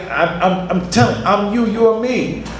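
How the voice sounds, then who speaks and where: Noticeable background noise and audible room echo surround a man's voice. He talks at a fairly quick pace with ordinary pitch variation. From Mount Vernon, New York. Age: 70s. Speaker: actor and director, panelist. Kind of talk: panel discussion. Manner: animated.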